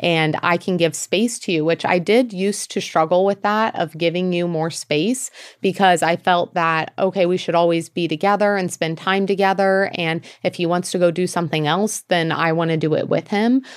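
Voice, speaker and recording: Speaking at a moderate pace with hardly any pauses, a woman uses a fairly low pitch and fairly even intonation on a very clean recording with a silent background. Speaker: podcast co-host, business owner. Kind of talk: casual chat. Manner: loud.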